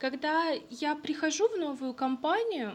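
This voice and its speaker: A woman is speaking. Her pace is very slow. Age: 20s. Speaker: podcast co-host. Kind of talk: casual chat.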